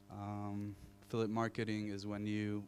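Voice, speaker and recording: A man with an Israeli accent speaks in a fairly low voice. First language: Hebrew. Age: 30s. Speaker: marketing executive. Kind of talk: panel discussion.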